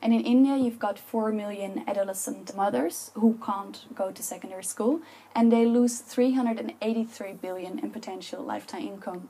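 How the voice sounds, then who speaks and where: A woman with a Dutch accent speaks at a moderate pace in a fairly high voice, with ordinary pitch variation. Her loudness swings widely, and she hardly pauses. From Netherlands. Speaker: public speaker. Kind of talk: talk to an audience. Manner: passionate.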